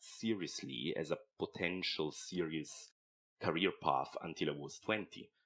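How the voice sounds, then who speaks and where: The pace is fairly slow. A man delivers it in an Italian accent. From Italian-speaking southern Switzerland, near Lugano. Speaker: animation film director. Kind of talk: podcast interview. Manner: halting, frequent repeated words.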